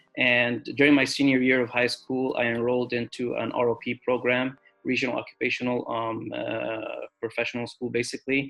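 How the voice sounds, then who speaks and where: A man at medium pitch with an Arabic accent, bright and sharp in tone, monotone and flat. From Egypt, then Southern California from childhood. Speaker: dental student. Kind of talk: personal story vlog. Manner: frequent fillers, uh and um.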